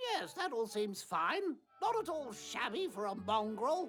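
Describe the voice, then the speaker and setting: A woman's put-on character voice, fairly high in pitch with very wide pitch swings, at a moderate pace over faint music in the background. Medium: machinima. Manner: rambling, chatty.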